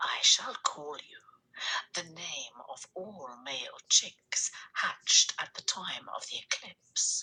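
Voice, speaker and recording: A woman whispering in a put-on character voice at a very slow pace. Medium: read story. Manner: soft, grave.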